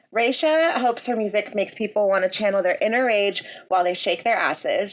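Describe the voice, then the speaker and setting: At a moderate pace, a woman with a fairly high pitch speaks in an animated tone. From US (grew up here), born in India. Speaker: podcast host. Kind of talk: podcast interview.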